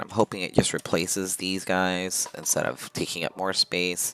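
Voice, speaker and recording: With music in the background, a man speaks at a very deep, low pitch and a fairly slow pace, the sound dry and close with no echo. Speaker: video game streamer. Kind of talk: gameplay livestream commentary. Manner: casual, halting with fillers.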